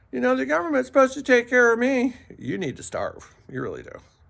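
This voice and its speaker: Noticeable background noise sits under a man's voice. He speaks with an American accent at a fairly quick pace. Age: 60s. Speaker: vlogger. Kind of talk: casual monologue. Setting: outdoors.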